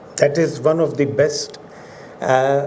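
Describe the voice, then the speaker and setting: A man speaks fairly slowly at a fairly high pitch. The room echo is audible and there is noticeable background noise. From India. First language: Urdu. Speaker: professor. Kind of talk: lecture. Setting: auditorium with audience. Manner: formal.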